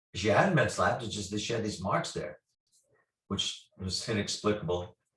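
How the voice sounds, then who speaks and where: The man's voice has a somewhat breathy quality. He keeps to a moderate pace. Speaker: paranormal investigator. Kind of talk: storytelling interview.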